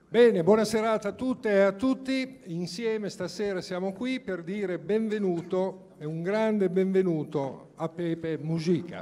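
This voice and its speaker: A high-pitched male voice with ordinary pitch variation at a fairly slow pace. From Italy. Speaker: mayor. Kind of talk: welcome speech. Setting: stage with audience. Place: hall.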